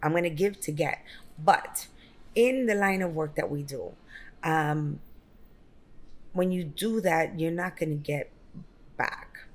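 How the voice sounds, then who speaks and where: A woman with a New York accent speaks at a fairly slow pace and a fairly low pitch, using ordinary pitch variation and long, frequent pauses. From Brooklyn, New York. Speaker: real estate broker and business owner. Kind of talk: interview.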